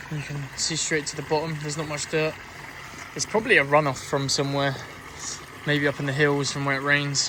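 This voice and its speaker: A man in a London accent speaks in a relaxed tone at a fairly high pitch, monotone and flat, with long, frequent pauses and noticeable background noise. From South London. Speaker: hiking vlogger. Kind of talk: casual vlog narration while walking. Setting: outdoors on a countryside hike. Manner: relaxed, hesitant with fillers.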